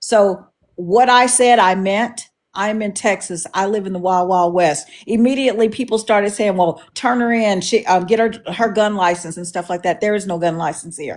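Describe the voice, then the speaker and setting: Over a quiet background, a woman with a plain, everyday voice talks at a moderate pace, her medium pitch showing ordinary variation. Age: 60s. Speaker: live stream guest. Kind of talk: heated debate.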